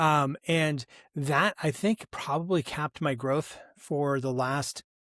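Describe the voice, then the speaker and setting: On a very clean recording with a silent background and a dry, close sound with no echo, a man talks at a very slow pace with ordinary pitch variation. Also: fairly high pitch for a man. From New England. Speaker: leadership coach and company founder. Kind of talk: interview. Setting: podcast interview.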